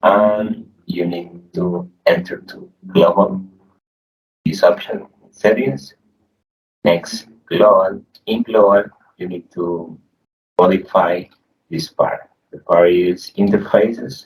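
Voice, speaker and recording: With a Spanish accent, a man speaks at a very slow pace, leaving long, frequent pauses as his loudness swings widely. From Colombia. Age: young. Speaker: programming tutorial youtuber. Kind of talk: screen-share tutorial. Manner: halting, repeats words.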